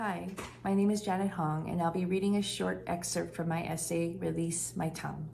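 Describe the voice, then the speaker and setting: A woman speaks at a moderate pace and very even loudness, with audible room echo. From western Canada, Vancouver. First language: Korean. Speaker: translator and writer. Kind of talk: reading aloud.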